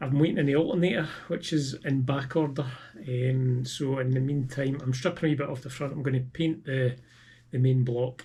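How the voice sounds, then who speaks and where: With a Scottish accent, a man speaks at a moderate pace in a fairly high pitch, somewhat breathy, with a dark, mellow tone and monotone, flat intonation. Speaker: car restorer, video maker. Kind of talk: casual video wrap-up. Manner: hesitant, lots of ums.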